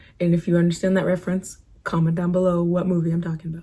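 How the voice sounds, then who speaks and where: A woman with a fairly low pitch, a dark, mellow tone and a somewhat breathy quality is speaking. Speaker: beauty and lifestyle vlogger. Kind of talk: casual advice vlog. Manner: casual, chatty.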